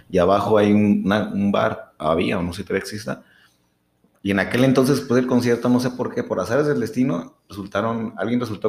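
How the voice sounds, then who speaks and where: With a plain, everyday voice, a man speaks at a fairly quick pace. His pitch is fairly low, with ordinary pitch variation. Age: 30s. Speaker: podcast co-host. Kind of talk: casual chat. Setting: studio.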